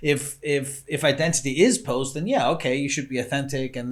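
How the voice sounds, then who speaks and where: Speaking with an American accent, a man has a medium pitch and a somewhat breathy voice. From Austria. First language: German. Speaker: interview host. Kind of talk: interview.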